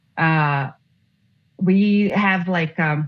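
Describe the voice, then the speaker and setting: The speaker is a woman with a non-native accent. Her pitch is fairly low and her intonation fairly even. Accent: foreign accent, self-conscious of it. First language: not English. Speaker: former juror. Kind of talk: interview. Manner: halting.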